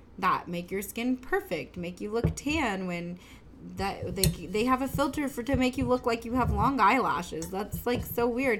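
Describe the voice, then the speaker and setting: A woman with lively intonation talks at a moderate pace as music plays in the background. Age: 30s. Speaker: podcast co-host, mom. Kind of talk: casual chat.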